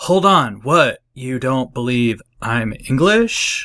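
Using a put-on character voice, a man at medium pitch speaks at a very slow pace.

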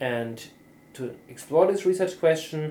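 The voice has a dark, mellow tone and a German accent. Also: man. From southern Germany, near Austria. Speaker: neuropsychologist and professor. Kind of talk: interview. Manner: halting.

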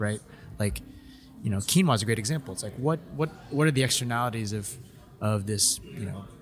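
A man with an American accent speaks at a medium pitch, his intonation lively. He pauses often and at length, with music playing in the background. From Los Angeles, US. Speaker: guest co-taster. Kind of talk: casual chat. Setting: live event on site.

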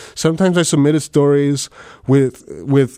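A man with a South Texas accent speaks in a monotone with flat intonation. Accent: South Texas Mexican-American English. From US South, Rio Grande Valley, Texas. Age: 30s. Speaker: novelist. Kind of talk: casual interview. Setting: on-site interview at a university.

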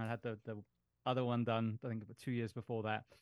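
Speaking in an English accent, a man keeps to a medium pitch. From England. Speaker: firefighter paramedic and podcast host. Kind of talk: casual chat.

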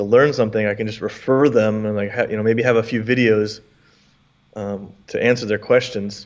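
A man's medium-pitched voice, fairly even in intonation and fairly quick in pace, with an American accent, a normal speaking voice. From US. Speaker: English teacher and content creator. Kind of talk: casual interview chat.

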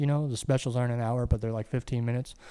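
The speaker has a dark, mellow tone and an American accent. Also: man. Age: 30s. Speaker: comedian. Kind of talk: casual chat.

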